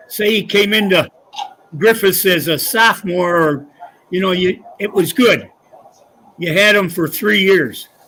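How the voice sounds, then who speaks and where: A man's high, raised, projected voice with an American accent, fairly slow with long, frequent pauses and ordinary pitch variation. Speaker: retired high school coach. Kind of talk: casual interview. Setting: live show at golf club.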